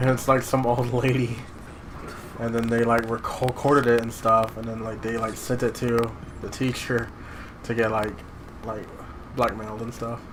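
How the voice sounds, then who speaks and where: At a moderate pace, a voice speaks in a monotone, flat intonation with audible room echo and noticeable background noise. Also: man, medium pitch for a man. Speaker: gaming youtuber. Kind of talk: casual chat. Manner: halting.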